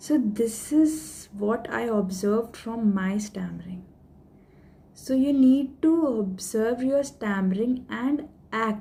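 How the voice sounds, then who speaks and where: At a very slow pace, a woman speaks in a dark, mellow tone that is somewhat breathy. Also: ordinary pitch variation. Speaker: stammering awareness vlogger. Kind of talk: tutorial. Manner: code-switching Hindi and English.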